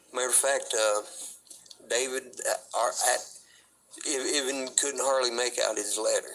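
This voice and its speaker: Against noticeable background noise, a man with an American accent speaks at a fairly slow pace. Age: 40s. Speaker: street interviewee, ex-prisoner. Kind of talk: casual interview conversation.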